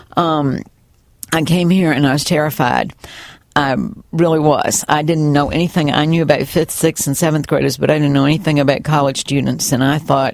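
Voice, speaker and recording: A woman with a Southern US accent talks fairly quickly at a very deep, low pitch. Her loudness stays very even. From US South. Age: 60s. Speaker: retired college bookstore manager and former teacher. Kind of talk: oral history interview. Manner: animated.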